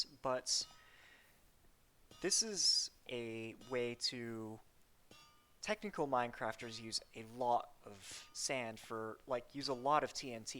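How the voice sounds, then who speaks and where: A woman speaks in a very deep, low voice at a very slow pace. Her pitch moves in an ordinary way, with music playing in the background. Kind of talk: game tutorial talk. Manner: stammering.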